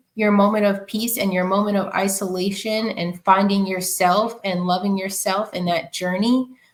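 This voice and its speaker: The speaker has an American accent and fairly even intonation. The pace is moderate. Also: woman. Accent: New York, comes out at times. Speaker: community founder, marketer. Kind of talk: podcast interview.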